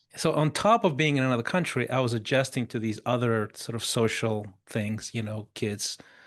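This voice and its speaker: This man talks at a moderate pace with a medium pitch. His pitch varies in an ordinary way. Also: hardly any pauses. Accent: non-native. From Chile, Africa and Russia (multinational childhood). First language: Spanish and Russian. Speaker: mentor and former pop singer. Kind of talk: podcast interview. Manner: casual, halting with false starts.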